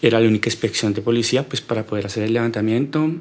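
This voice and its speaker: A man's voice at a medium pitch. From Colombia, Neiva, Huila. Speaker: podcast guest. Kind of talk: personal life story interview. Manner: hesitant, many fillers and repetitions.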